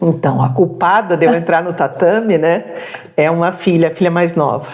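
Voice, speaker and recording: Noticeable background noise sits behind a woman with a fairly low pitch. She talks at a moderate pace with ordinary pitch variation. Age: 60s. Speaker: retired social worker, jiu-jitsu practitioner. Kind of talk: interview.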